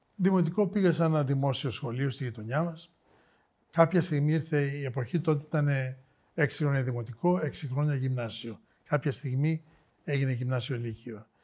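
A man's somewhat breathy voice sits at a fairly high pitch with ordinary variation. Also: moderate pace, very clean recording, silent background. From Thessaloniki, northern Greece. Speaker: biotech executive. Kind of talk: interview.

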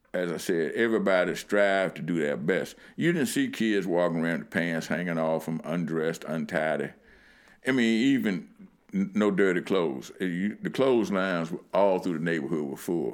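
With an American accent, a man speaks at a very deep, low pitch. He keeps a moderate pace with ordinary pitch variation. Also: very clean recording, silent background. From Lynchburg, Virginia (US South). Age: 60s. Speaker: community elder recalling civil rights era. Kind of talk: interview storytelling. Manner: halting, many fillers.

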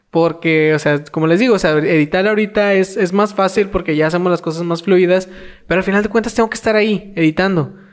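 The speech moves at a very fast pace over a quiet background. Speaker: podcast co-host. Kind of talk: casual chat.

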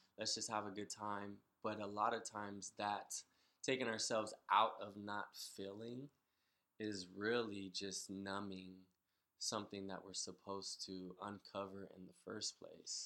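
The tone is bright and sharp, with monotone, flat intonation at a fairly slow pace. Loudness swings widely throughout. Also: man, fairly low pitch for a man. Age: 30s. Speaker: military veteran. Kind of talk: personal testimony in casual chat.

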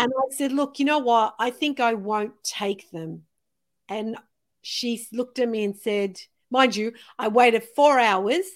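On a very clean recording with a silent background, a woman with an unremarkable speaking voice talks fairly slowly at a fairly high pitch, with ordinary pitch variation. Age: 50s. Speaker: podcast host. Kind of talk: casual interview chat.

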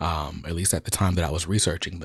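In an American accent, a man with a very deep, low voice sounds somewhat breathy, with ordinary pitch variation, a dry, close sound with no echo and a very clean recording with a silent background. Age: 30s. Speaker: podcast host. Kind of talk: solo commentary.

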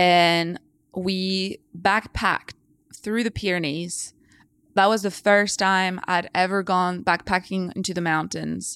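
At a very slow pace, a woman speaks at medium pitch with monotone, flat intonation on a very clean recording with a silent background. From France, countryside. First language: French. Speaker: scientist. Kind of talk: casual chat.

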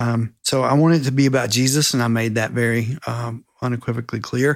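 Recorded very cleanly with a silent background, a man with an American accent uses an unremarkable speaking voice, talking at a fairly quick pace with fairly even intonation. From South Carolina. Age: 60s. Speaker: mentor and author. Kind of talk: casual interview.

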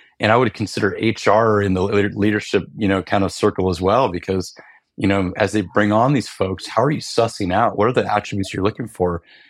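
With a plain, everyday voice, a man speaks at a fairly low pitch with fairly even intonation in a very clean recording with a silent background. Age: 40s. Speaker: retired special operations senior enlisted leader and startup co-founder. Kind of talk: casual conversation. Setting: video or conference call.

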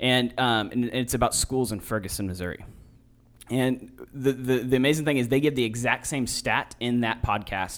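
Fairly even intonation runs through a normal speaking voice. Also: man. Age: 30s. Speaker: podcast host. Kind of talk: interview.

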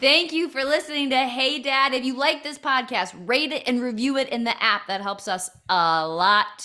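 Intonation rises and falls in a lively way. The tone is bright and sharp, the voice raised and projected. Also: woman, hardly any pauses. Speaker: comedian and podcast host. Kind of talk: casual chat with her dad. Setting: remote recording with headphones.

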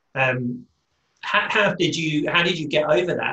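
In a British accent, a man speaks at a fairly slow pace with ordinary pitch variation. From Britain. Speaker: podcast host. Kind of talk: interview. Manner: halting, frequent word repetitions.

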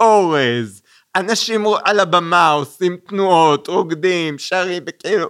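The speaker uses lively intonation at a very slow pace. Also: man. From Israel, Kfar Saba. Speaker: film festival director. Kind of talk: casual interview.

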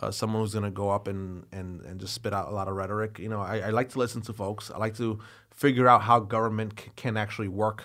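A man with an American accent talks at a fairly quick pace. His pitch is fairly low and his tone bright and sharp. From New York City, Brooklyn (East New York). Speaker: politician. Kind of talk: interview. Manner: halting, many fillers and repeats.

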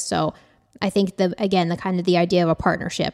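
An unremarkable speaking voice from a woman at medium pitch, fairly quick in pace, dry and close with no echo, on a very clean recording with a silent background. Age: 30s. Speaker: dietitian in private practice. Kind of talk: casual chat.

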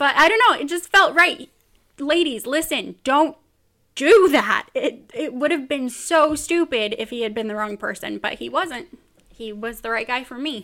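A woman with an American accent uses a raised, projected voice at a high pitch, bright and sharp in tone. Her intonation is lively and her tone animated. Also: moderate pace, big swings in loudness. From US West Coast (Bakersfield, California, Central Valley). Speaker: podcast host. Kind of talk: casual chat. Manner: animated, frequent laughter.

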